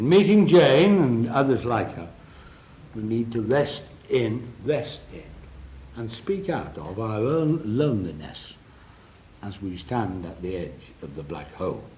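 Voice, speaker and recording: A man's dark, mellow voice at medium pitch, with vocal fry, very wide pitch swings, big swings in loudness, a fairly slow pace and long, frequent pauses, in a room with audible echo. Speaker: psychotherapist. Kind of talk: lecture. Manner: drops voice at important points.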